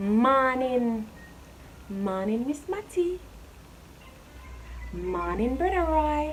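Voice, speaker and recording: With a Jamaican accent, a woman speaks at a very slow pace with long, frequent pauses, her high voice making very wide pitch swings over music in the background. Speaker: YouTuber. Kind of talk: casual talk to camera.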